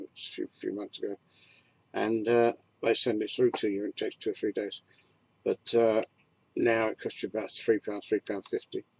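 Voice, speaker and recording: Here a man speaks with a London accent. He keeps a moderate pace. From Peckham, South East London. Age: 70s. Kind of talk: casual reminiscence to camera.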